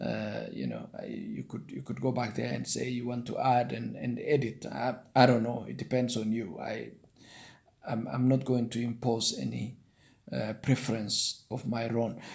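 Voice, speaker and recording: Here a man speaks with a Kenyan accent. His pace is moderate. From Kenya, Nandi-speaking. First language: Nandi. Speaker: online career tutorial maker. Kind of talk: tutorial. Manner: halting.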